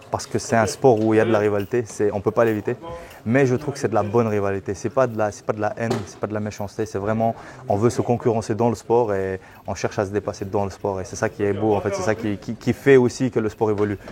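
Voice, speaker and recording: A man with a fairly low pitch talks at a very fast pace with fairly even intonation. Noticeable background noise is present. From Belgium. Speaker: MMA coach. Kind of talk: interview.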